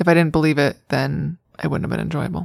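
The sound is dry and close with no echo as a woman speaks at a very fast pace. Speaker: book enthusiast guest. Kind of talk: casual chat.

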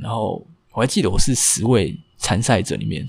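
Vocal fry at a moderate pace. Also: man. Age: 20s. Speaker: bartender. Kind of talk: personal life story interview.

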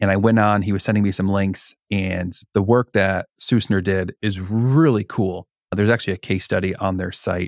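In a plain, everyday voice, a man speaks at a moderate pace with hardly any pauses, his pitch fairly low and intonation fairly even, on a very clean recording with a silent background. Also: dry, close sound with no echo. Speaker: podcast host. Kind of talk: casual interview chat.

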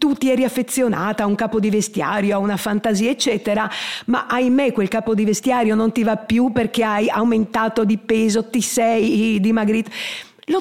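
A woman at a moderate pace and fairly high pitch, with ordinary pitch variation, very even loudness and noticeable background noise. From Trieste, Italy. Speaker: grandmother and course participant. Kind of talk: interview testimony. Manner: halting.

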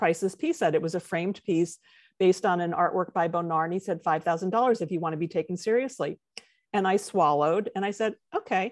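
A woman with an American accent and an ordinary speaking voice talks at a fairly quick pace, medium pitch and ordinary pitch variation against a quiet background. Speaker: textile artist. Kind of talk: interview.

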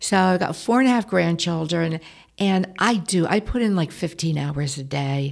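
A woman's fairly low voice with lively intonation at a moderate pace, on a very clean recording with a silent background. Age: 60s. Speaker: retiring youth program director. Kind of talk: casual interview. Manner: straightforward, no-nonsense.

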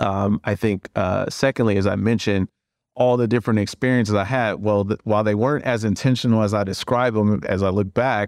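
A man with an American accent uses a normal speaking voice at a fairly low pitch and a moderate pace, with fairly even intonation, on a very clean recording with a silent background. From US Midwest, Cleveland. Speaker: private equity fund co-founder. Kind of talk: podcast interview.

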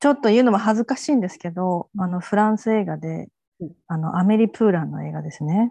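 Her medium-pitched voice moves very fast with ordinary pitch variation, the woman's sound dry and close with no echo. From Japan, Fukuoka. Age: 40s. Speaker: freelance writer. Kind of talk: casual interview chat.

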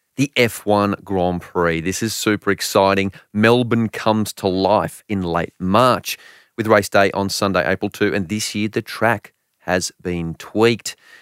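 A man with an Australian accent, fairly low pitch and fairly even intonation at a fairly slow pace, in a very clean recording with a silent background and a dry, close sound with no echo. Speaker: motoring journalist. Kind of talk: casual chat.

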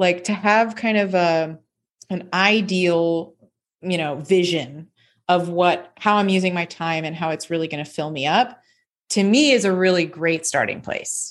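With an American accent, a woman speaks at a fairly slow pace in an ordinary speaking voice, fairly low in pitch with ordinary pitch variation, against a quiet background. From Tallahassee, Florida. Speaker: life coach, former opera singer. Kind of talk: casual interview chat.

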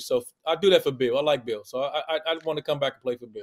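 Someone speaks at a very fast pace in a DC area accent. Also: man. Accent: DC-area American. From Washington DC area. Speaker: college basketball analyst, former player. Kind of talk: casual sports banter.

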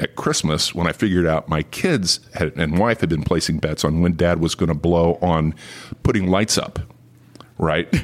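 At a moderate pace, a man with a very deep, low voice talks with an American accent. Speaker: former state politician. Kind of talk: interview.

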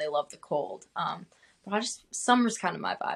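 A woman with an American accent and a normal speaking voice, at a moderate pace with ordinary pitch variation. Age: 20s. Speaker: country singer-songwriter. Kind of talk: interview.

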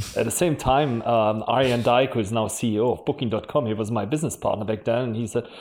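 This speaker talks at a fairly quick pace with a German accent. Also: man. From Germany. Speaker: marketing executive. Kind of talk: podcast interview.

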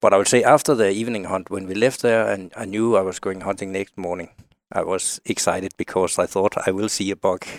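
On a very clean recording with a silent background and a dry, close sound with no echo, a man with a Danish accent speaks at a fairly low pitch, fairly quick pace and fairly even intonation. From Denmark. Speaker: outdoor writer and hunter. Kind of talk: casual interview chat. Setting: studio.

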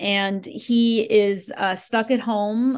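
Against a quiet background, a woman with an American accent speaks at medium pitch in an unremarkable speaking voice, with ordinary pitch variation. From US Northeast (Yonkers, New York). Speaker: author and journalist. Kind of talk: interview. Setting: podcast interview.

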